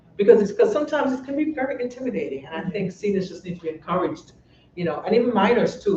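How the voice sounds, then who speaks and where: Noticeable background noise accompanies speech at a very fast pace. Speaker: physician. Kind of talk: panel discussion.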